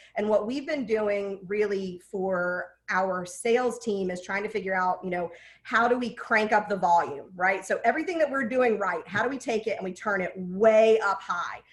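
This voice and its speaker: An animated woman's voice of medium pitch with ordinary pitch variation. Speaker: print business executive, webinar guest speaker. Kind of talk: webinar panel talk. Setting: online webinar. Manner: fast.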